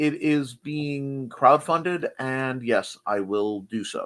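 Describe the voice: At a medium pitch, a man speaks with a fairly bright tone.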